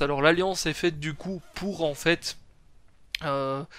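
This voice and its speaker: A man's fairly high voice at a fairly slow pace with ordinary pitch variation, over music in the background. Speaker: anime youtuber. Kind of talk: video review. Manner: casual, filler-heavy.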